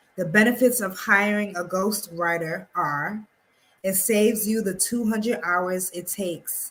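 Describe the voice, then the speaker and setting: Her voice is a plain, everyday voice with medium pitch. This woman talks at a fairly slow pace with fairly even intonation. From New York City (Harlem). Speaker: publishing coach. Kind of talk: tutorial.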